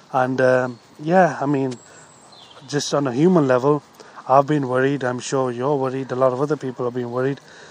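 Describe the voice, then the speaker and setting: With noticeable background noise behind him, a medium-pitched man talks at a fairly quick pace in a flat monotone, broken by long, frequent pauses. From Britain. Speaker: podcast host, entrepreneur and coach. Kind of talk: casual interview. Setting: outdoors.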